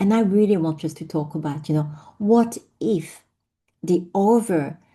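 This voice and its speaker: Against a quiet background, a woman in a French accent talks at a fairly slow pace with a fairly low pitch, a dark, mellow tone, ordinary pitch variation and a somewhat breathy voice. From France, Vietnamese family. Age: 50s. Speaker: business founder and speaker. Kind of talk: personal storytelling talk.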